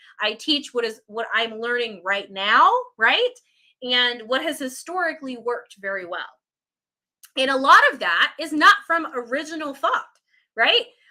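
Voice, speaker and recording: A woman speaks in a raised, projected voice, high-pitched with a bright, sharp tone. Her intonation is lively, broken by long, frequent pauses. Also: moderate pace. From Puerto Rican background. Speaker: online business coach. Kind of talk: live stream talk. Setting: live video stream. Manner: stumbles over words.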